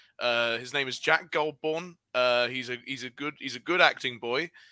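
Fairly slow speech from a man with a British accent, fairly high in pitch, bright and sharp in tone, with ordinary pitch variation, dry and close with no echo on a very clean recording with a silent background. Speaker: podcast host. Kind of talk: casual banter podcast. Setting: live stream.

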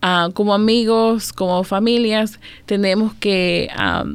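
Her intonation stays fairly even at a medium pitch. A woman speaks in a plain, everyday voice. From El Salvador, then Maryland from age 7-8. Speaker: domestic violence outreach supervisor. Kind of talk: radio interview.

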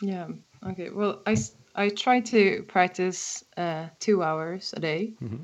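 A woman in a Swedish accent, medium-pitched, at a fairly slow pace with ordinary pitch variation. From Sweden, Stockholm. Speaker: harmonica player and songwriter. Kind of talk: casual interview. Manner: hesitant, many fillers.

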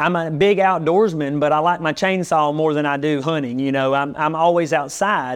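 Speaking at a moderate pace with a Southern US accent, a man uses a fairly high pitch. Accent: Southern US (Georgia). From US South. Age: 40s. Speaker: pastor and barber. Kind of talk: casual chat. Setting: barbershop.

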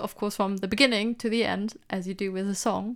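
A woman with a non-native accent talks at a fairly quick pace and fairly even intonation. The recording is very clean, with a silent background. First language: not English. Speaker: podcast co-host, PhD graduate. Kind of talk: casual chat. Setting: home recording with laundry hung up.

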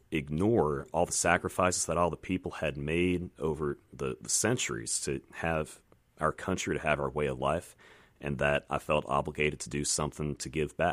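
In an American accent, a man with a very deep, low pitch and vocal fry speaks at a moderate pace with ordinary pitch variation, in a dry, close sound with no echo on a very clean recording with a silent background. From Virginia. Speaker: congressional candidate and former Navy pilot. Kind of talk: radio interview. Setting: radio studio.

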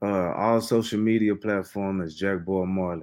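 At a moderate pace and with fairly even intonation, a man with an American accent talks in a plain, everyday voice. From Texas, Fort Worth. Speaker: independent rap artist. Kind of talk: casual interview. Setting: livestreamed online interview.

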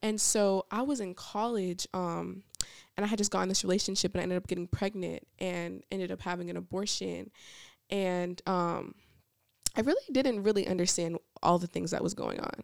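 Talking in an American accent, a woman has a plain, everyday voice at medium pitch, with ordinary pitch variation and a moderate pace. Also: dry, close sound with no echo. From Niagara Falls, New York, then Georgia. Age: 20s. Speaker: ministry administrator. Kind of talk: testimony.

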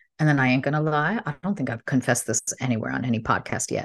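Very fast and animated, a woman with an American accent speaks in a very deep, low pitch with ordinary pitch variation. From US Midwest. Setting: home office.

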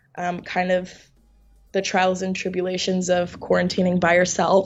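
Music in the background behind a woman speaking at a medium pitch. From New York. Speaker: actress. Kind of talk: interview.

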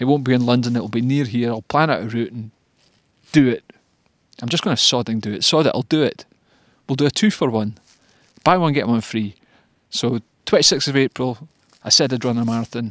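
Speaking with a Scottish accent at a medium pitch, a man keeps a fairly quick pace broken by long, frequent pauses, with ordinary pitch variation and a dry, close sound with no echo. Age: 40s. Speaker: amateur runner, video diarist. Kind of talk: personal video diary. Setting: at home after a run. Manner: halting, many fillers.

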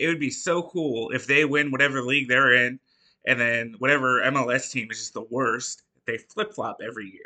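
At a fairly quick pace, a man with a medium pitch and a bright, sharp tone speaks with ordinary pitch variation and big swings in loudness. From Detroit, Michigan, US Midwest. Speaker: podcast producer. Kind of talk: casual chat.

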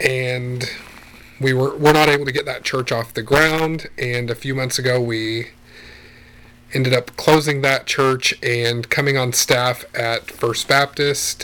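A man speaks with a Midwestern accent. His intonation is monotone and flat. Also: medium pitch for a man, fairly slow pace. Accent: general Midwestern American. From Wichita, Kansas. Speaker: pastor. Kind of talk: interview, conversational.

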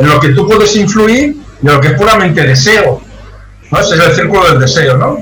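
A man at a high pitch with very wide pitch swings and a fairly quick pace, amid background music and audible room echo. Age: 60s. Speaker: sales consultant. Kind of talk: interview.

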